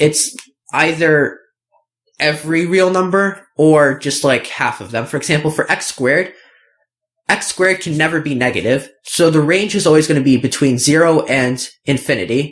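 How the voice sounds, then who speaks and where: This is an ordinary speaking voice. Its pitch varies in an ordinary way, and the pace is moderate. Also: man, fairly high pitch for a man. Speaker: math tutor. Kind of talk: tutorial. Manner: casual with fillers.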